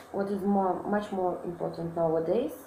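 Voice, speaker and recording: In a room with audible echo and noticeable background noise, a woman talks with a Russian accent. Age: 20s. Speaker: student. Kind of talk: self-introduction monologue. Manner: halting, many fillers.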